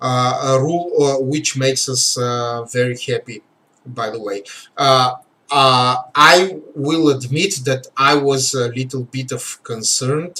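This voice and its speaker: The speaker has a Bulgarian accent. The pace is fairly slow. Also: man, medium pitch for a man, ordinary pitch variation. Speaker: game livestream host. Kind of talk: livestream commentary. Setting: live stream. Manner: halting, many fillers.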